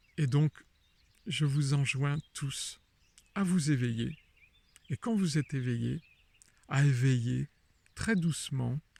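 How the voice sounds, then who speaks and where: A man speaks at a very slow pace and fairly high pitch, somewhat breathy, with ordinary pitch variation and long, frequent pauses. The sound is dry and close with no echo, in a very clean recording with a silent background. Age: 60s. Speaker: wellness vlogger. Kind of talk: video monologue. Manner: animated.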